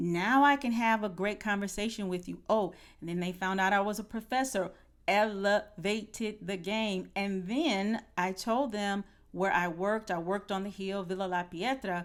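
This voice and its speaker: A woman speaks in a normal speaking voice at a moderate pace, medium in pitch with ordinary variation. The recording is very clean, the background silent. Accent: American. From United States. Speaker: podcast host, former professor. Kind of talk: podcast conversation.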